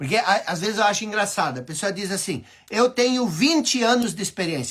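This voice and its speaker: In a very clean recording over a silent background, the talking proceeds at a moderate tempo. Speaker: life coach, former radio broadcaster. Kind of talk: motivational talk. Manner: repetitive, emphatic.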